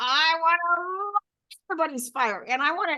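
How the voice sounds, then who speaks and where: A woman speaks in a raised, projected voice, her pitch swinging very widely. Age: 70s. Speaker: life coach. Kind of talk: interview answer.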